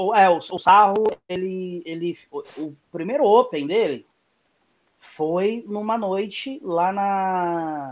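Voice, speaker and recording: Speaking at a very slow pace, a man has a voice that is high in pitch. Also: ordinary pitch variation. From São Paulo east zone (Itaim Paulista/Curuçá). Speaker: stand-up comedian. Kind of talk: casual chat. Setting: YouTube livestream.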